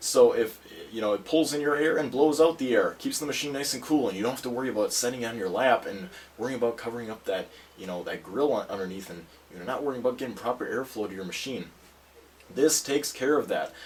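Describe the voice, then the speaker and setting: Through noticeable background noise, a man speaks at a very fast pace with a medium pitch and ordinary pitch variation. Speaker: tech reviewer. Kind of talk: product review video. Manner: casual, conversational with fillers.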